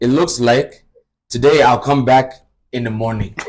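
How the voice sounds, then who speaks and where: Speaking at a moderate pace with an American accent, a man uses a medium pitch. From United States. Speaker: radio presenter. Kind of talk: casual chat. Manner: energetic.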